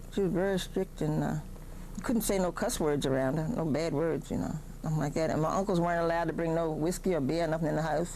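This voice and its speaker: A very fast woman with an American accent, fairly low pitch, ordinary pitch variation, a dark, mellow tone and audible room echo. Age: 70s. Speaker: oral history interviewee. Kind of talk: oral history interview.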